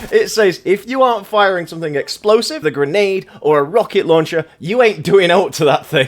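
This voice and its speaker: Lively intonation marks this man's speech in an English accent. He keeps a moderate pace. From England. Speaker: gaming commentator. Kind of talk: casual game review commentary. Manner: ad-libbed, improvised.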